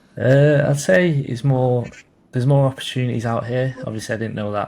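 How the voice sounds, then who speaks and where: Speaking fairly quickly, a man talks in an English accent. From England. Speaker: college soccer player. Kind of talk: interview. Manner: halting.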